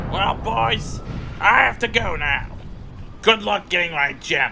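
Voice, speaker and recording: Clear background noise sits behind a man doing a put-on character voice. He speaks at a fairly slow pace with a high pitch and very wide pitch swings. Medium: machinima. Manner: smug, commanding.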